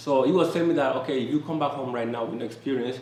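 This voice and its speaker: A man talks at a very fast pace with a Spanish accent, at medium pitch with ordinary pitch variation. Audible room echo and noticeable background noise fill the recording. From Panama. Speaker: expat entrepreneur, interviewee. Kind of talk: casual interview.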